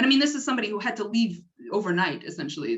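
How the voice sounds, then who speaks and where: Speaking very fast in a Canadian accent, a woman sounds somewhat breathy as her pitch swings very widely. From Canada. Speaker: doctoral researcher. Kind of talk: lecture.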